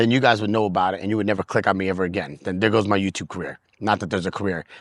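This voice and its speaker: In a New York accent, a man talks at a very fast pace and a fairly low pitch against a quiet background. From US Northeast, New York City. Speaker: working DJ and YouTuber. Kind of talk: casual vlog rant. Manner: animated.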